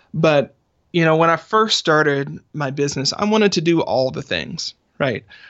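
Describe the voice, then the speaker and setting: A man with fairly high pitch and vocal fry speaks with lively intonation. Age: 30s. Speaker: author and business strategist. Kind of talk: interview.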